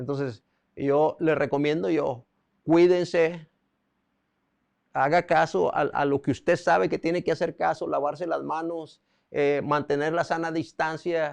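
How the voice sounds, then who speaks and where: A man speaks slowly with a fairly high pitch and fairly even intonation. Long, frequent pauses break up his speech against a quiet background. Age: 60s. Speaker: preacher. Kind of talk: sermon. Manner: halting.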